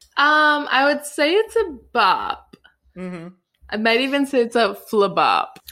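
A woman's high, bright, sharp voice, raised and projected, at a fairly slow pace with very wide pitch swings. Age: 20s. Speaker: director and actor. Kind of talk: casual chat.

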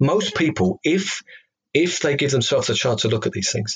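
A man with a slight Cockney accent talks at a fairly quick pace. His voice is somewhat breathy, with lively intonation. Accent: English, slight Cockney twang. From London, England. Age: 40s. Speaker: former atheist turned reverend, ex-policeman. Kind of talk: interview testimony. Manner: halting, with many fillers and repetitions.

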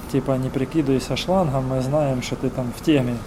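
There is audible room echo and noticeable background noise. Through it, a man speaks at medium pitch. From Kherson, southern Ukraine. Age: 40s. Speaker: local councillor and volunteer, former captive. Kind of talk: testimony interview.

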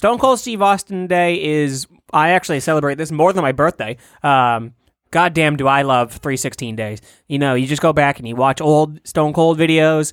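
On a very clean recording with a silent background, a man with an unremarkable speaking voice talks at a moderate pace in a fairly high pitch with ordinary pitch variation. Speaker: comedy podcast co-host. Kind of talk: casual chat.

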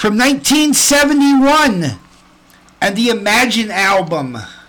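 The tone is warm and enthusiastic, with noticeable background noise behind the voice. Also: man. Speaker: radio host. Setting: live radio studio. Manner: chatty, warm, enthusiastic fan; slightly rambling, stumbling over words.

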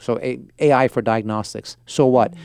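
A man with an American accent talks at a medium pitch, using an ordinary speaking voice with ordinary pitch variation. The sound is dry and close with no echo, and the background is quiet. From Portland, Oregon, US. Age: 40s. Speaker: venture capitalist. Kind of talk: interview. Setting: studio.

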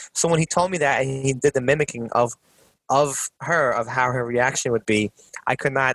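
The sound is dry and close with no echo as a man of medium pitch speaks at a fairly quick pace with ordinary pitch variation. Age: 30s. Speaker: podcast co-host. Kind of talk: casual chat. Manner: animated.

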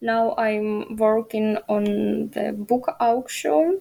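In a Ukrainian accent, a woman speaks very slowly with a fairly high pitch and a dark, mellow tone. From Ukraine. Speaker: journalism student. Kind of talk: interview. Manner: halting.

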